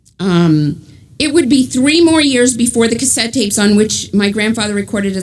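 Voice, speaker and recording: A woman with a New York accent, fairly high in pitch, amid audible room echo. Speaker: author and journalist. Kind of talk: book talk to a congregation.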